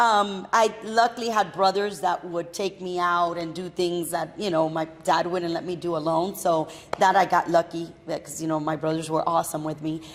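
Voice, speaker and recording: Noticeable background noise sits behind a woman with an American accent. Her pitch is fairly low and her intonation fairly even at a moderate pace. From Miami, Florida (Hialeah). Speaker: entrepreneur. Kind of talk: casual interview chat.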